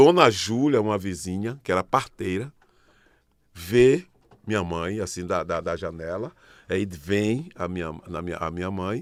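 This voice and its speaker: A man's very deep, low voice with ordinary pitch variation, a fairly slow pace and long, frequent pauses, on a very clean recording with a silent background. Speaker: artist. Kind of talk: podcast interview.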